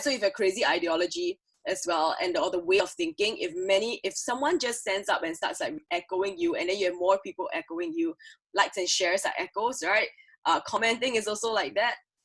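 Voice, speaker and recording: Loud and very fast, a woman speaks at a fairly high pitch in an animated tone, her voice making very wide pitch swings. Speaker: creative producer, conference speaker. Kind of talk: conference talk.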